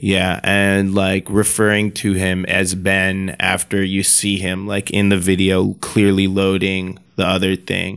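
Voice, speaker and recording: In a very clean recording with a silent background, a man with a very deep, low voice talks fairly slowly in a monotone, flat intonation with hardly any pauses. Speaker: podcast host. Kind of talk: retelling a creepy haunted-cartridge story in a flat, storytelling way. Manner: casual, conversational.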